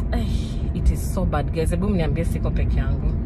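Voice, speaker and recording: The sound is dry with no echo. Music plays in the background. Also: woman. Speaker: vlogger. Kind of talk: casual vlog chat. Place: car. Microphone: phone near.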